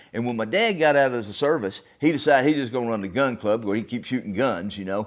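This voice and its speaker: Against a quiet background, a man with an American accent talks at a very fast pace with lively intonation. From Texas. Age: 60s. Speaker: podcast host. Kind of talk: solo podcast monologue, storytelling. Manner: casual, folksy.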